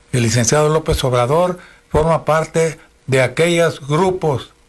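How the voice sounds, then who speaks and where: A man talks at a very slow pace over noticeable background noise. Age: 80s+. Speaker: radio host. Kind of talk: political commentary.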